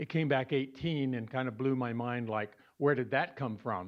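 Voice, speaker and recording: A man with an ordinary speaking voice, fairly high in pitch, at a moderate pace with fairly even intonation. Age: 60s. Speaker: support group member sharing cancer story. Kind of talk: personal talk to support group.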